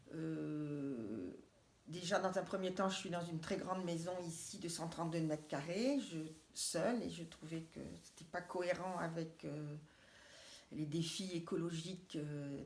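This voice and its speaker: Audible room echo surrounds a woman talking at a fairly slow pace with ordinary pitch variation. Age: 60s. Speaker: cooperative housing project member. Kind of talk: interview. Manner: halting.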